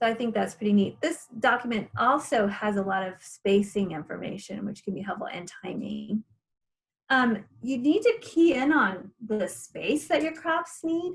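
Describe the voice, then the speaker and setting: A somewhat breathy woman's voice, fairly high in pitch with very wide pitch swings, at a moderate pace. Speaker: gardening class instructor. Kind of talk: online class presentation.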